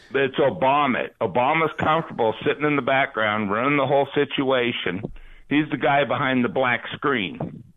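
This man has a normal speaking voice with a fairly high pitch and ordinary pitch variation. He keeps a moderate pace and very even loudness. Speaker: caller. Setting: phone call.

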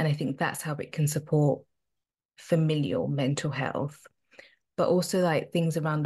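Somewhat breathy and very deep in pitch, a woman speaks against a quiet background. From UK, Zimbabwean and South African heritage. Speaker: occupational therapist and spiritual counsellor. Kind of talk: casual interview chat. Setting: remote recording, evening in the UK.

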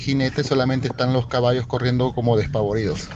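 Amid noticeable background noise, a man at medium pitch speaks with a Peruvian accent. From Lima, Peru. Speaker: radio show caller. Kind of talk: voice message anecdote. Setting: WhatsApp voice message.

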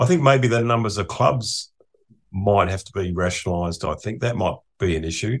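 In an Australian accent, a man with a fairly low pitch and a somewhat breathy voice talks at a fairly quick pace with ordinary pitch variation and big swings in loudness, on a very clean recording with a silent background. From Australia, Adelaide. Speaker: economist. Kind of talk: casual interview.

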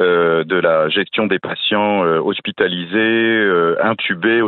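Very slowly, a man speaks at a fairly low pitch, his intonation fairly even. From France, between Paris and Strasbourg. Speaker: gastroenterologist. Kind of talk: radio interview.

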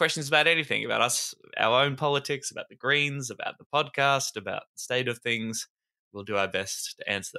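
Talking at a very fast pace, the voice carries an Australian accent and a bright, sharp tone. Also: man, very clean recording, silent background. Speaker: podcast co-host. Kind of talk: casual chat.

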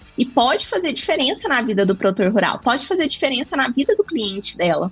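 A woman's voice moves in very wide pitch swings. Noticeable background noise runs behind her. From Brazil, Minas Gerais (Triângulo Mineiro). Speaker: business mentor for entrepreneurs. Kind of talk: podcast interview.

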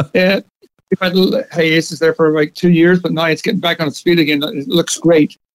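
With a slight Northern Irish accent, a man speaks at a fairly quick pace in a high pitch with ordinary pitch variation. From Northern Ireland, Belfast. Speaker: pub owner. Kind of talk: radio interview.

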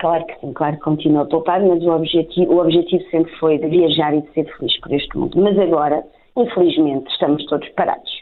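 In an ordinary speaking voice, a woman talks at a fairly quick pace with a fairly low pitch and fairly even intonation, her loudness swinging widely. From Portugal. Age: 30s. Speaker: primary school teacher and translator. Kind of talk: interview.

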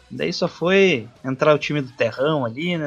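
A man at a fairly slow pace, with ordinary pitch variation and music in the background. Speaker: sports podcast host. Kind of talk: casual sports chat.

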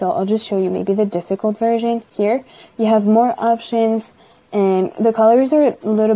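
With an unremarkable speaking voice, this woman keeps a moderate pace, a fairly high pitch, and ordinary pitch variation. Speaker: business development apprentice. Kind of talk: product demo.

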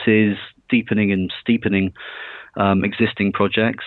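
Moderately paced and monotone, a man with a British accent speaks at a fairly low pitch. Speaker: mining engineering consultant. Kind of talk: interview. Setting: podcast recording.

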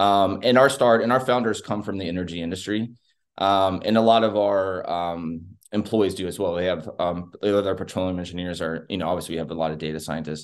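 Over a quiet background, a man with a Texan accent and a very deep, low pitch speaks at a fairly quick pace with ordinary pitch variation. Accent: Texan American English. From Texas. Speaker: technology company managing director. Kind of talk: interview. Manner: frequent filler words (um, uh).

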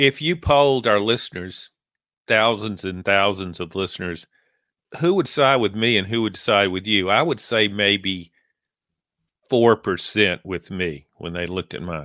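A man speaks with a Southern US accent at a fairly slow pace. His pitch sits fairly low. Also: ordinary pitch variation. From Louisiana. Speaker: sports podcast co-host, sportswriter. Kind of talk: casual sports chat.

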